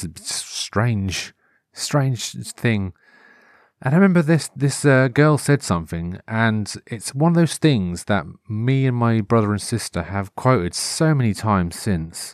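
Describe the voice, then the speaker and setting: A man with a Norfolk accent, medium pitch and lively intonation, at a fairly slow pace, in a very clean recording with a silent background. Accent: Norfolk English, moderate. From Norfolk, England. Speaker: podcast host. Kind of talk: casual solo monologue. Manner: rambling, informal, hesitant with fillers.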